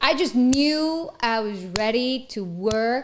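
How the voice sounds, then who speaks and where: A woman with a Spanish accent speaks at a fairly high pitch. Her tone is animated, and her intonation is lively. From Mexico. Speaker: actress and entrepreneur. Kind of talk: casual chat.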